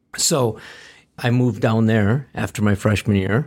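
On a very clean recording with a silent background, a man talks at a medium pitch with fairly even intonation. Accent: Upper Midwest. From Wisconsin, Green Bay. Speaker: business founder and trainer. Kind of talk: casual interview.

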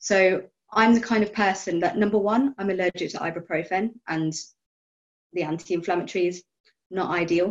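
At a moderate pace, a woman with a medium pitch and fairly even intonation speaks with long, frequent pauses. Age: 30s. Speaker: biologist and arthritis patient. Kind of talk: casual group chat.

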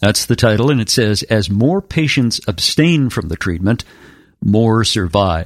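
Over a very clean recording with a silent background, a normal speaking voice goes at a fairly slow pace with lively intonation. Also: man, medium pitch for a man. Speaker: radio host. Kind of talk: interview.

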